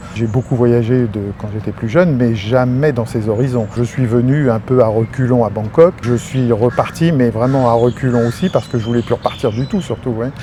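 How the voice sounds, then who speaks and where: Moderate pace with hardly any pauses, fairly even intonation and noticeable background noise. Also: man, medium pitch for a man. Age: 60s. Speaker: retired expatriate. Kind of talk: interview. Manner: halting.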